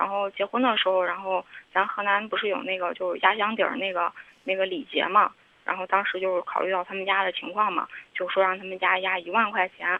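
At a fairly quick pace, a woman talks with a medium pitch and fairly even intonation. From Henan. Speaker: caller. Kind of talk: phone-in confession. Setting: phone call. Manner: halting.

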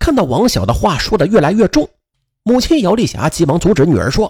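The background has little sound. What we hear is plain reading aloud.

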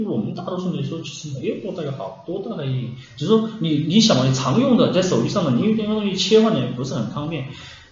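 Speaking at a very fast pace with hardly any pauses, a man with a fairly high pitch swings very widely in pitch, with noticeable background noise and audible room echo. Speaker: app developer. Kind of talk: casual chat.

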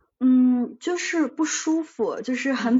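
A woman's high-pitched voice. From China. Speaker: life coach. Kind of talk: casual interview.

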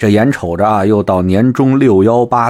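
On a very clean recording with a silent background, a man with a slight Beijing accent talks at a fairly slow pace in a fairly low pitch, his animated tone full of lively intonation. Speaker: online commentary host. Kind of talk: casual monologue.

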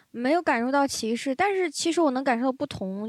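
Her intonation lively, a woman speaks at a fairly quick pace in a high pitch. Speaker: stand-up comedian. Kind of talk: casual chat.

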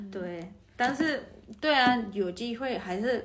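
A woman's slow-paced delivery, fairly unhurried, with lively intonation, vocal fry and audible room echo. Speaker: podcast guest, expat. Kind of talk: casual chat. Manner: hesitant, many fillers.

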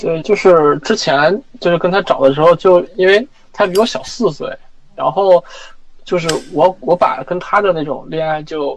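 Against noticeable background noise, a man talks in a high voice. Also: ordinary pitch variation, moderate pace. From Inner Mongolia, China. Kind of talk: personal story in consultation. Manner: halting.

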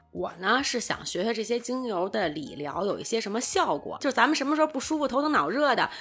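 High-pitched woman, fairly quick pace, very wide pitch swings. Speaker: podcast co-host. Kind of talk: casual chat.

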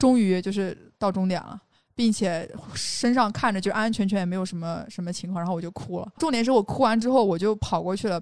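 A woman with a plain, everyday voice speaks at a fairly quick pace and a medium pitch, using ordinary pitch variation. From Xinjiang, China. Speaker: outdoor industry worker and podcaster. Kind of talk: casual chat.

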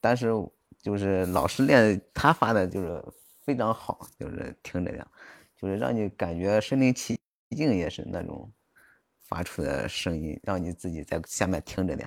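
A man speaks at a moderate pace with lively intonation in a very deep, low voice. The sound is dry and close, with no echo. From Jiaozuo, Henan, China. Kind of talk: casual chat. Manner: halting.

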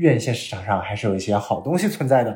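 Somewhat breathy male speech in a dark, mellow tone. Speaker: film industry worker and podcast host. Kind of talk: casual chat.

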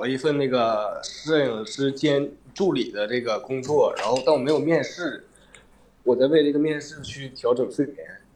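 Noticeable background noise behind a man speaking with fairly even intonation. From Northeast China, Shenyang. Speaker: livestream caller with depression. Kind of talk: casual chat, personal confiding. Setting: livestream voice link.

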